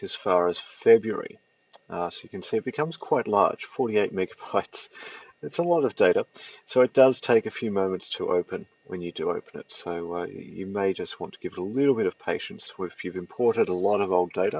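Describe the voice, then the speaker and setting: A man speaks with an Australian accent at a fairly quick pace. His loudness swings widely. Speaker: tutorial presenter. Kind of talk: software tutorial. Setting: at home, cold side of the house. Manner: hesitant with many fillers.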